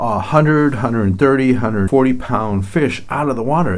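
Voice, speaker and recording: There is audible room echo on this recording. A man speaks with an American accent. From lower Michigan. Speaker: tourism bureau president. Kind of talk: interview.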